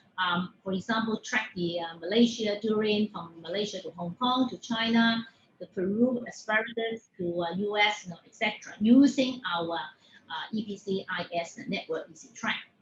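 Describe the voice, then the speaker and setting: With noticeable background noise behind her, a woman speaks at a fairly high pitch, hardly pausing, her loudness swinging widely. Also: ordinary pitch variation, moderate pace. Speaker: industry speaker on supply chain technology. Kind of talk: webinar talk. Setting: online webinar. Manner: halting, many fillers.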